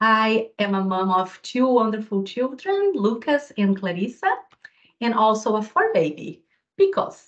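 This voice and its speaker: Fairly slowly, a woman with a Brazilian accent talks at a fairly high pitch. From southern Brazil, Rio Grande do Sul. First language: Portuguese. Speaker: physiotherapy lecturer. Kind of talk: webinar presentation.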